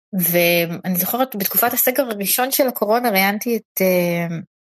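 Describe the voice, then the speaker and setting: At a fairly slow pace, a woman uses a normal speaking voice with ordinary pitch variation. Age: 30s. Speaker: podcast host and interviewer. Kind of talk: interview. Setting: online audio room.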